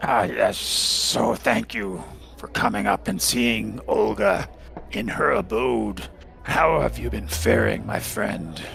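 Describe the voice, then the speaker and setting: A man uses a put-on character voice, raspy and rumbling, at a fairly slow pace. Clear background noise runs underneath. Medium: actual play. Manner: measured, maternal, speaks of herself in third person.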